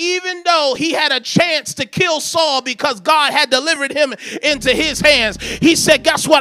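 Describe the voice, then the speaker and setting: Raising and projecting his voice at an extremely high pitch, a man speaks at a moderate pace with ordinary pitch variation over noticeable background noise. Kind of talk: sermon, preacher in full flow, prophetic declarations to congregation. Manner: emphatic, rhythmic, exhorting, call-and-response urging the crowd to say amen; animated, commanding, repeating declarations with rising intensity.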